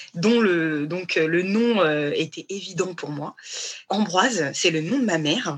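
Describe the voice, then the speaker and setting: This woman's fairly low voice unfolds at a very slow pace. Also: ordinary pitch variation. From Paris region, France. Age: 30s. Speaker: fashion designer, brand founder. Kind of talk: casual interview. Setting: remote online recording.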